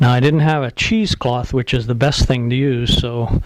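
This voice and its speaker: Noticeable background noise beneath a medium-pitched male voice. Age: 70s. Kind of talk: casual how-to demonstration to camera.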